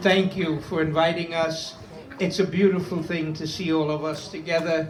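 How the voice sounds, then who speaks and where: Music plays in the background as a man with a Brooklyn accent talks at a fairly high pitch, with audible room echo. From Brooklyn, New York. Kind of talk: speech at interfaith vigil.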